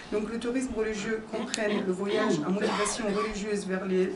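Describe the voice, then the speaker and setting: At a fairly slow pace and with ordinary pitch variation, a woman with a non-native accent speaks amid noticeable background noise and audible room echo. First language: not French (speaking French). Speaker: pilgrimage organizer, conference speaker. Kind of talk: conference talk. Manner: halting, many hesitations.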